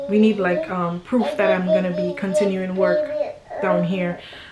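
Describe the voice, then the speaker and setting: Over noticeable background noise, the speaker's pitch varies in an ordinary way. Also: woman. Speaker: family vlogger. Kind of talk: casual storytime vlog. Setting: at home, filming by window light. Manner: halting, many fillers.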